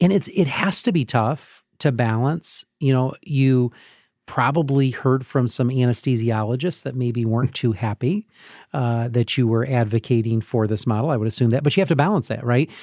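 Here a man has a plain, everyday voice at medium pitch. He keeps a moderate pace with ordinary pitch variation. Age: 40s. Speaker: podcast host, hospital CEO. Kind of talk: casual interview. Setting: studio.

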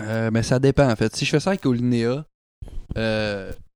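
A man with a Quebec accent speaks at a fairly slow pace and medium pitch, with ordinary pitch variation. The recording is very clean, with a silent background and a dry, close sound with no echo. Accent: Québécois French. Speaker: podcast host and musician. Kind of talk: casual chat. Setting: at a guest's home.

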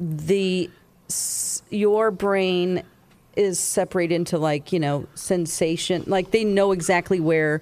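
A woman speaks in an American accent with a plain, everyday voice. Her pitch is medium and her intonation fairly even. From US South. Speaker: radio host. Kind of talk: casual chat.

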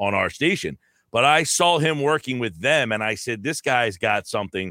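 With an American accent and a normal speaking voice, a man talks at a moderate pace with lively intonation, in a dry, close sound with no echo on a very clean recording with a silent background. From New Jersey. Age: 40s. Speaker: sports radio host. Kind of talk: casual chat.

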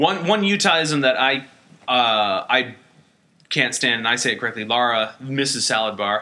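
This man has an ordinary speaking voice, medium in pitch, with lively intonation at a moderate pace. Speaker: podcast host. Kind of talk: casual comedic banter podcast.

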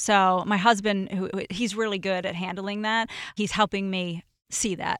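Her voice is a plain, everyday voice: a woman at a medium pitch with fairly even intonation and a moderate pace, dry and close with no echo on a very clean recording with a silent background. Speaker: former roommate of the host. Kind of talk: casual chat.

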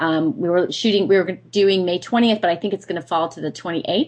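A woman with an American accent speaks at a fairly quick pace. Hers is an unremarkable speaking voice with ordinary pitch variation. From US Northeast. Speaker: business coach and speaker. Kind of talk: radio interview.

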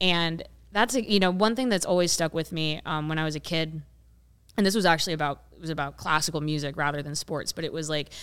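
A woman with an American accent and a plain, everyday voice, fairly low in pitch, with ordinary pitch variation and a fairly quick pace. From rural Ohio, US Midwest. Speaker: women's soccer podcaster and writer. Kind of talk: casual panel discussion.

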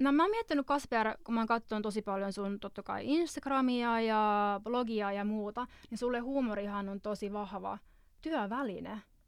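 A woman's normal speaking voice, fairly high-pitched and fairly slow, with ordinary pitch variation, on a very clean recording with a silent background. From Finland. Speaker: podcast host and visual artist. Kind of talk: casual chat. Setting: studio.

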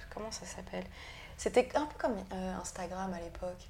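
A woman talks fairly quickly with ordinary pitch variation as noticeable background noise carries on. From Brittany, France. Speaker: tattoo artist. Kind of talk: interview. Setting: tattoo shop. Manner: halting.

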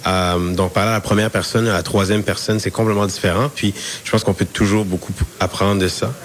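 Very fast speech from a man with a fairly low pitch and fairly even intonation, noticeable background noise behind him. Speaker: university student. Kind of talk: interview.

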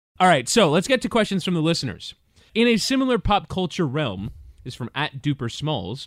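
Speaking at a fairly quick pace, a man with a fairly high voice and vocal fry swings his pitch very widely, captured dry and close with no echo. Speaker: podcast host. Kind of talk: casual banter, AMA.

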